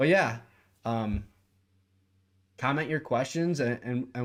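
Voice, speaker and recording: The speaker keeps a moderate pace. The recording is very clean, and the background silent. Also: man. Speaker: sports podcast co-host. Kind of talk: casual chat. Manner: halting.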